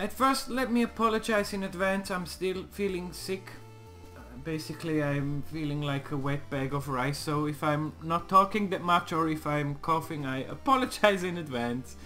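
Music plays behind a man who speaks at a moderate pace in a fairly high pitch. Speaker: let's play gamer. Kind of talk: casual gameplay commentary.

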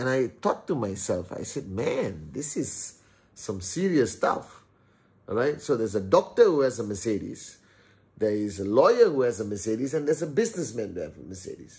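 Somewhat breathy, a man speaks at a moderate pace. His pitch swings very widely. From Malaysia (Teluk Intan, Perak). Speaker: entrepreneur and YouTuber. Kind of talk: motivational vlog monologue. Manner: animated. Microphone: phone near.

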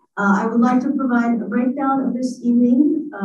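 Audible echo from the room surrounds a woman's voice. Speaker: history professor and event organizer. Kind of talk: formal event introduction. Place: hall.

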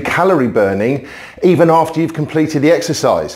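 Fairly high in pitch, a man talks at a fairly quick pace with ordinary pitch variation over noticeable background noise. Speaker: recruitment trainer. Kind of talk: promotional vlog. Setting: exercising on camera.

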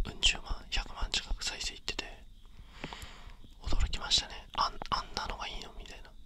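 A man is whispering. His pace is fairly quick. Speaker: ASMR creator. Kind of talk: whispered ASMR talk. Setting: binaural dummy head mic. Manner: whispered. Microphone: studio mic.

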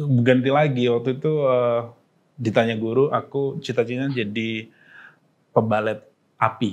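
Fairly even intonation carries a man's speech at a moderate pace. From Pati, Central Java, Indonesia; Central Java, Indonesia. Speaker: stand-up comedian. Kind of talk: casual interview chat. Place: studio.

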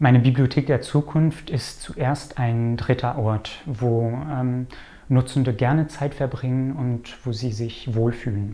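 A man's dark, mellow tone, fairly even in intonation, at a very slow pace. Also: medium pitch for a man. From Canada. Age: 20s. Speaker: librarian. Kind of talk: interview. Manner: hesitant. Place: office. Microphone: lapel.

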